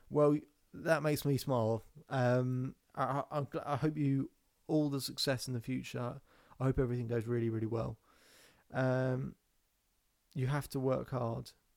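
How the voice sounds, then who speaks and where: On a very clean recording with a silent background, a man with a British accent speaks at a moderate pace and medium pitch in a monotone, flat intonation, pausing long and often. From England, near London. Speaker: self-belief coach and podcast host. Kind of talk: live-stream Q&A. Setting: Instagram Live stream. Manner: casual, off the cuff.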